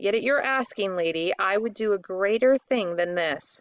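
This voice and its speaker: A woman uses a put-on character voice with ordinary pitch variation. Her loudness stays very even. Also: medium pitch for a woman, moderate pace. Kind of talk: archaic formal speech. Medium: read story.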